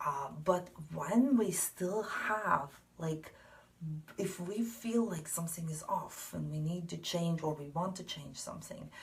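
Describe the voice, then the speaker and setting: A woman with a non-native accent and fairly low pitch speaks at a fairly slow pace. Noticeable background noise is present. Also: ordinary pitch variation, big swings in loudness. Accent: non-native English, mispronounces some words. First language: not English. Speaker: tarot card reader. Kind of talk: spiritual card reading monologue. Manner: hesitant, many fillers.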